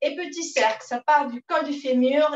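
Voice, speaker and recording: Room echo can be heard. The words come very slowly. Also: woman. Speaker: fitness instructor. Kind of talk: exercise class instruction. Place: home room. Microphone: camera far.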